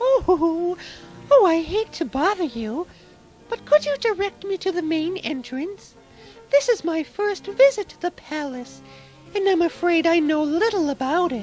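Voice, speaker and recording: Over clear music in the background, a woman does a squeaky, cartoonish character voice at an extremely high pitch, with very wide pitch swings and a moderate pace. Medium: puppet show. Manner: soft, earnest.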